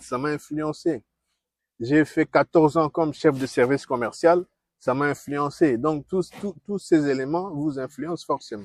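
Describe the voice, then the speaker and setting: A man with a Congolese accent speaks at a fairly slow pace and a fairly high pitch, with ordinary pitch variation. The sound is dry and close with no echo, a very clean recording with a silent background. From DR Congo. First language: Kikongo (speaking French). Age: 60s. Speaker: diplomat and former university teacher. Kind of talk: interview. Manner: halting.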